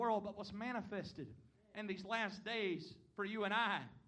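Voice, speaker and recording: A man with a Southern US accent speaks at a moderate pace in a high pitch, with audible room echo. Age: 20s. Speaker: visiting preacher. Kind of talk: sermon. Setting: church.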